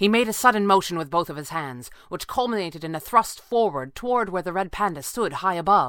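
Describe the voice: The text is read aloud plainly. It is straightforward reading.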